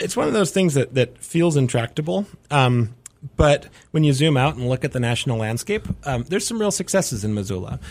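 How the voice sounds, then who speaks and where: A man's medium-pitched voice at a fairly quick pace, with very wide pitch swings. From North Dakota. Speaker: city mayor. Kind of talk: radio interview. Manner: halting, many fillers.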